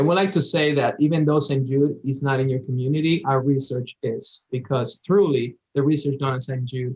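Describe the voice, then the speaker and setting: A man with a slight Dominican accent speaks at a moderate pace and a fairly high pitch. His voice is somewhat breathy, with fairly even intonation. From Dominican Republic. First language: Spanish. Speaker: cancer survivor, former patient. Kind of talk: interview.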